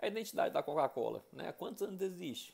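Using vocal fry, a man talks at a fairly quick pace with very wide pitch swings. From Brazil, Belo Horizonte (Minas Gerais). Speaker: education and nonprofit management professional presenting a business case. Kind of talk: casual presentation of a case study. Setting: self-recorded video. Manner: conversational, with fillers and self-corrections. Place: bathroom. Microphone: earbuds.

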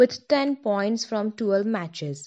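This woman's voice sits fairly high. She talks very slowly. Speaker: news reader. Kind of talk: scripted news bulletin read aloud, steady and formal. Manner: formal, even-paced, businesslike delivery.

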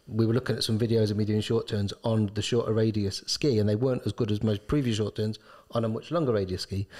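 A man's fairly low, dark, mellow voice at a very fast pace, over a quiet background. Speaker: ski shop owner and co-host. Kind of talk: casual chat. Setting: studio. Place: studio. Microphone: studio mic.

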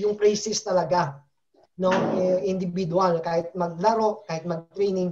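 This man's voice is high-pitched. His intonation stays fairly even. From Philippines. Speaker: football coach and former national team player; football coach. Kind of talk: casual interview. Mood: relaxed, friendly. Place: home room. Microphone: video call.

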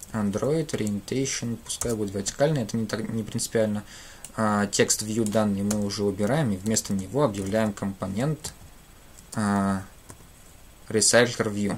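A man with fairly low pitch speaks at a moderate pace, with fairly even intonation and long, frequent pauses. Light background noise is present. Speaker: programming teacher. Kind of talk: live coding tutorial. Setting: livestream at computer. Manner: halting, many filler sounds. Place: home room.

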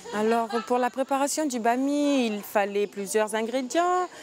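Light background noise accompanies a woman whose voice has a dry sound with no echo. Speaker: youth exchange organizer. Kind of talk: casual instructions to group. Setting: outdoors. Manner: halting. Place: garden.

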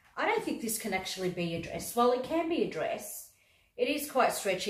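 The speaker has an Australian accent, a fairly quick pace and very wide pitch swings. Audible room echo is heard. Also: woman. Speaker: YouTuber, fashion try-on haul creator. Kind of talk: casual try-on haul video. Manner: animated. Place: home room. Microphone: phone near.

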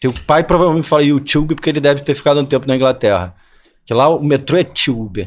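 A man's fairly high-pitched voice at a very fast pace, with very even loudness and ordinary pitch variation. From Rio de Janeiro, Barra da Tijuca; Rio de Janeiro. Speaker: actor and playwright; actor. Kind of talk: interview conversation. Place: studio. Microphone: studio mic.

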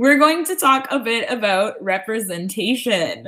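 Against a quiet background, a woman with a Canadian accent speaks at a moderate pace in a bright, sharp tone with very wide pitch swings. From Canada, Hamilton, Ontario; Ontario, Canada. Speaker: graphic designer and moderator; moderator. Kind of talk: webinar presentation. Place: home room. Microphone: webcam.

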